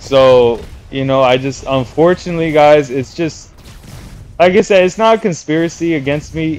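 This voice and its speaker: At a moderate pace and with ordinary pitch variation, an unremarkable speaking voice talks in an American accent. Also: man, fairly high pitch for a man. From New York City. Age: 30s. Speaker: video game streamer. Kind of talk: casual live stream monologue.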